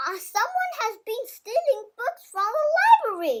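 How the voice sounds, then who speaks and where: In a put-on character voice, a woman speaks squeakily at an extremely high pitch and a fairly slow pace. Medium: read story.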